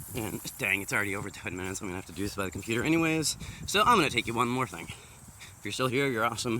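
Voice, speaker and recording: Talking at a very fast pace, a man keeps his pitch variation ordinary. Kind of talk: casual walk-around vlog. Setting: outdoors on farm. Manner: fast, rambling.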